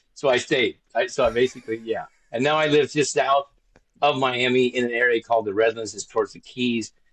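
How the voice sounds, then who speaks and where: A man with an American accent uses a plain, everyday voice at a medium pitch. He speaks at a fairly quick pace with fairly even intonation and big swings in loudness. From US Pacific Northwest, Spokane, Washington. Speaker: former reality show contestant. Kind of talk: casual interview.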